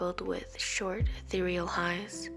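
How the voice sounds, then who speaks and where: Very slow speech over background music. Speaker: poet. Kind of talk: spoken word poetry reading.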